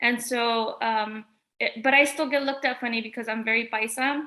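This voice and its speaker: This woman's fairly high-pitched voice carries a Spanish accent. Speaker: artist. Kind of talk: panel discussion. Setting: art gallery, livestream.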